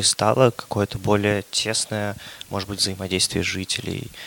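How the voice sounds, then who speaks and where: A man talks in a fairly low pitch with monotone, flat intonation. The sound is dry and close, with no echo. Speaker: podcast co-host. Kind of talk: casual chat.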